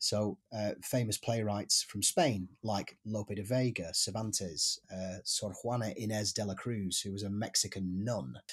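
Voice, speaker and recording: A man with an English accent speaks somewhat breathily at a fairly low pitch and a fairly slow pace, with ordinary pitch variation and hardly any pauses, on a very clean recording with a silent background. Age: 40s. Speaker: actor. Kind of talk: interview. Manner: halting.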